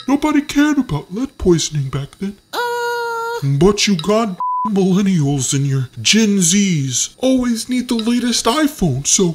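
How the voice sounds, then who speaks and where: A man puts on a character voice, high-pitched with very wide pitch swings, at a fairly slow pace. Sound effects and light background noise play behind him. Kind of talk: comedic character monologue. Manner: sarcastic, ranting.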